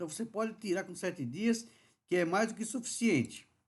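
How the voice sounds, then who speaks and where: The background is quiet. A man with a high pitch talks at a moderate pace. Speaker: dental surgery lecturer. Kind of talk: webinar lecture.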